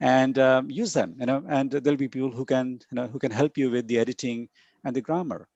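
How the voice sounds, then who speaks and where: A man speaks at a fairly quick pace in a medium pitch, the sound dry and close with no echo against a quiet background. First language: not English. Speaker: conference keynote speaker on academic publishing. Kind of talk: lecture. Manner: halting with many fillers and repetitions.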